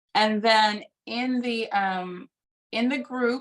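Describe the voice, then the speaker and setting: A woman speaks in an unremarkable speaking voice, fairly high in pitch with ordinary pitch variation. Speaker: doula trainer. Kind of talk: lecture.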